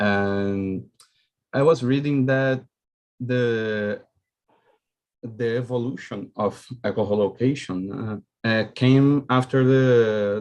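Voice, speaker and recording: A man's fairly even intonation, with a Portuguese accent. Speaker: student. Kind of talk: audience question. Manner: halting.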